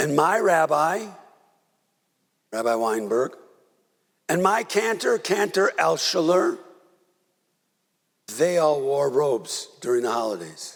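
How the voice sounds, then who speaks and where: A man with an American accent speaks at a very slow pace, leaving long, frequent pauses, and his pitch makes very wide swings. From US Midwest, Milwaukee. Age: 80s+. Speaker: rabbi. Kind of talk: sermon. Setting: synagogue service. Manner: conversational, halting.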